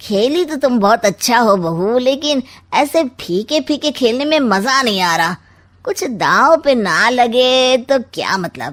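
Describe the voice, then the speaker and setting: In a very clean recording with a silent background, a woman does a cartoonish character voice, high-pitched, with lively intonation at a fairly slow pace. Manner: sly, sarcastic, smug.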